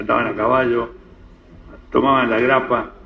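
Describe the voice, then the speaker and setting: Moderately paced male speech with audible room echo and noticeable background noise. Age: 80s+. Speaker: community elder of Lebanese descent. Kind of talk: interview talk, reminiscing. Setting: radio program. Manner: halting, with repetitions.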